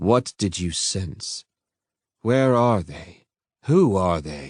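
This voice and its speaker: Putting on a character voice, a man speaks very slowly in a fairly low pitch, with lively intonation and big swings in loudness. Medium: read story. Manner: intense, impatient.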